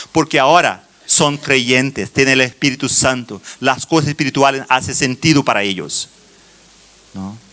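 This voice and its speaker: The speaker talks at a fairly slow pace in a Brazilian accent. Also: man. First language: Portuguese (speaking Spanish). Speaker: children's ministry teacher. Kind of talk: conference talk. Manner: halting, many fillers and restarts.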